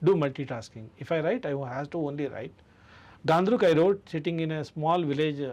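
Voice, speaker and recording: With a Karnataka accent, a man with a fairly high pitch speaks at a fairly quick pace with ordinary pitch variation. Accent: Indian English (Kannada). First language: Kannada. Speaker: author and literature festival director. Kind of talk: radio interview.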